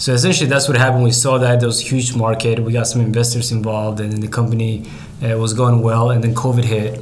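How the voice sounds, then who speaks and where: Over noticeable background noise and audible room echo, a man talks very fast at a medium pitch in a monotone, flat intonation. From Norway. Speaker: startup CEO. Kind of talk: casual interview. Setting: in-person studio.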